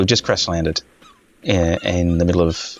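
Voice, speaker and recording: A man with an Australian accent speaks at a moderate pace in a very deep, low pitch. Noticeable background noise runs behind him. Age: old. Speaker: gaming video creator. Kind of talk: casual gameplay commentary. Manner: hesitant, many fillers; laid-back. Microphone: basic home setup, possible audio issues.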